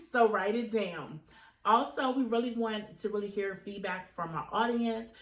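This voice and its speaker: In a plain, everyday voice, a woman speaks at a moderate pace with a fairly high pitch and ordinary pitch variation. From Virginia, Chesterfield County. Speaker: podcast co-host. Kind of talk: casual chat.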